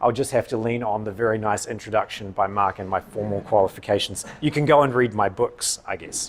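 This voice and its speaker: A man's fairly low voice at a fairly quick pace, fairly even in intonation, with hardly any pauses. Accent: New Zealand. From New Zealand. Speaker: political science professor. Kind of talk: public lecture.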